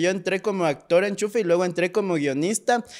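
The pitch varies in an ordinary way. The background is quiet. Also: man. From Ecuador, Pasaje (El Oro coast); Ecuador. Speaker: actor and screenwriter; actor. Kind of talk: casual interview chat. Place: studio. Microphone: studio mic.

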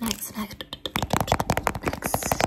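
Loud background noise accompanies speech delivered at a moderate pace. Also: woman. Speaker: ASMR creator. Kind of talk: soft ASMR roleplay talk. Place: home room. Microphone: studio mic.

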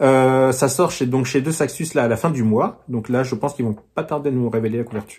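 Against a quiet background, a man speaks at a fairly quick pace with hardly any pauses, ordinary pitch variation and a somewhat breathy voice. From France. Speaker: book YouTuber. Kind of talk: casual vlog book presentation. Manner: hesitant, many fillers. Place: home room. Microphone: phone near.

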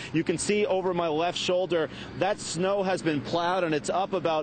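A man's high-pitched voice at a moderate pace, with light background noise. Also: dry sound with no echo. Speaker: TV field reporter. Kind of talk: live news report. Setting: outdoors in snowstorm. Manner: formal. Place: street. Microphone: lapel.

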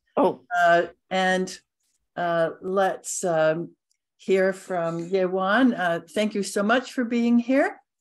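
A woman at a very slow pace, with ordinary pitch variation, over a quiet background. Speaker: cello society meeting host. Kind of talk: interview. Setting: video call. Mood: warm, cheerful, laughing. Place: home room. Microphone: video call.

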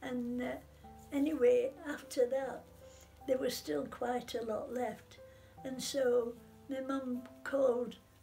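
With faint music in the background, a woman with a Sheffield accent speaks very slowly at a high pitch with fairly even intonation. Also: long, frequent pauses. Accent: Yorkshire (Sheffield). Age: 80s+. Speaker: war survivor. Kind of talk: interview answer. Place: home room. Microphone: phone near.

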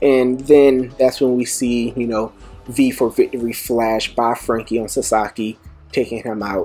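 Faint music sits behind a man speaking at a fairly slow pace in a monotone, flat intonation. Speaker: manga commentator. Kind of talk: commentary.

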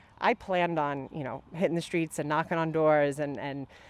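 A woman speaks with a very deep, low pitch. The sound is dry, with no echo. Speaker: candidate. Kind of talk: interview answer. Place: garden. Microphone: handheld.

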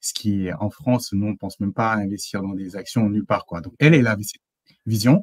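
A man with a fairly low pitch speaks at a fairly quick pace, showing ordinary pitch variation and big swings in loudness. The background is quiet and the sound is dry with no echo. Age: 30s. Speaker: engineer and consultant; interview guest. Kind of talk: interview testimony. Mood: relaxed, smiling. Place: home room.

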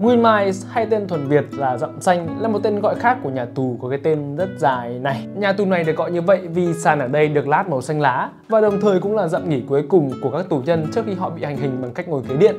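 A man at a fairly quick pace with hardly any pauses, clear music in the background. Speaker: narrator. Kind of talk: comedic movie recap narration. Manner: casual, joking. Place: studio. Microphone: lapel.

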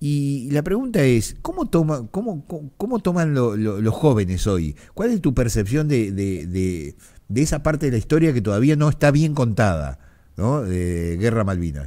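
A man with a dark, mellow tone and medium pitch speaks at a moderate pace, his pitch swinging very widely. The background is quiet. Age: 50s. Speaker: radio host. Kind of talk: radio interview. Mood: reflective, emotional memory. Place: studio. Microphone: studio mic.

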